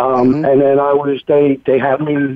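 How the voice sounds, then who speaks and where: This man has a Philadelphia accent. His pitch is fairly high. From Philadelphia, Pennsylvania. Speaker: recovery coach. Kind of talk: interview testimony. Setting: phone call.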